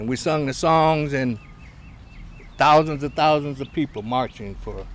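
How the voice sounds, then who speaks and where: At a moderate pace, the speaker uses an ordinary speaking voice with an American accent. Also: man. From US Midwest, Cleveland. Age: 60s. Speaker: community elder, convert to Islam. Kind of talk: interview, life story.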